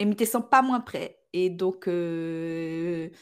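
A woman is heard in a very clean recording against a silent background. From Réunion, Sainte-Marie. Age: 30s. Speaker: podcaster and Instagram creator. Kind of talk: casual interview.

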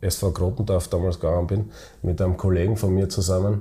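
In a dark, mellow tone, a man sounds somewhat breathy. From Styria, Austria (Weiz). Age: 30s. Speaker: football club chairman and business owner. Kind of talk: interview. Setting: office. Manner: halting.

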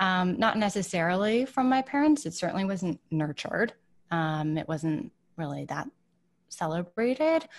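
A woman with a Midwestern accent talks at a moderate pace and medium pitch. Her pitch swings very widely, and the background is quiet. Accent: General American (Midwest). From Michigan, US Midwest. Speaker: wellness writer and entrepreneur. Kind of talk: casual interview.

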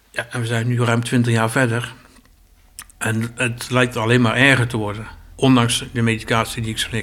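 Speaking at a moderate pace, a man with a medium pitch keeps a monotone, flat intonation. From Zeeland. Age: 50s. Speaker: asylum centre worker. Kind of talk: personal testimony interview.

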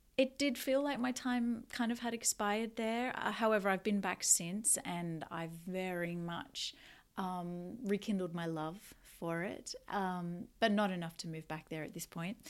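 On a very clean recording with a silent background, a woman with an Australian accent talks at a fairly slow pace, her medium pitch showing ordinary variation. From Australia, Newcastle NSW. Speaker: podcast host, energy healer and coach. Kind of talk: casual solo podcast monologue.

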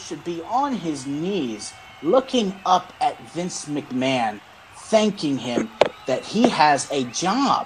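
Over noticeable background noise, the speech moves very slowly with very wide pitch swings. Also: man. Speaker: wrestling podcast co-host. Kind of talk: casual chat. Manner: animated.

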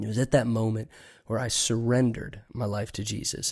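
A man with an American accent speaks at a medium pitch in a monotone, flat intonation. The recording is very clean, with a silent background. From Long Island, New York. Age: 30s. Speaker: pastor. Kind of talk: casual interview.

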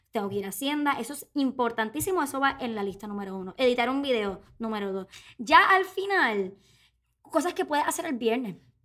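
In a Puerto Rican accent, the speech moves at a fairly quick pace with a bright, sharp tone, very wide pitch swings and big swings in loudness. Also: woman, high pitch for a woman. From Puerto Rico. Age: 20s. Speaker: podcast co-host, actress and influencer. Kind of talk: casual chat.

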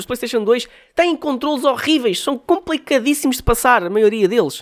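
The recording is very clean, with a silent background. A man talks at a moderate pace in an animated tone. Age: 20s. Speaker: podcast host and music artist. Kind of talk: casual monologue.

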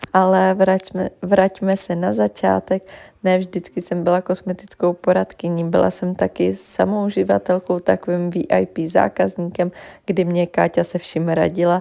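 A woman talks at a fairly slow pace. The background is silent and the recording very clean. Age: 20s. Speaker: beauty consultant. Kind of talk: personal testimony.

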